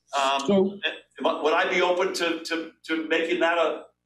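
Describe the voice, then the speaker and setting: Against light background noise and audible room echo, a man speaks at a moderate pace with a high pitch and ordinary pitch variation. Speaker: guest. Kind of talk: interview answer. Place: office. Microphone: video call.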